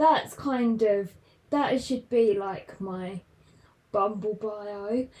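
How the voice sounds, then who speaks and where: A woman with a southern English accent speaks very slowly at a fairly high pitch. Her tone is dark and mellow, with ordinary pitch variation. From southern England, London. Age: 20s. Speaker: podcaster. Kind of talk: casual chat.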